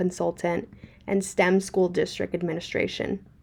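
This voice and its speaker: A woman talks at a fairly quick pace in a Spanish accent. Her pitch sits in the medium range. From Puerto Rico. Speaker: graduate student. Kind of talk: class presentation. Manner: formal.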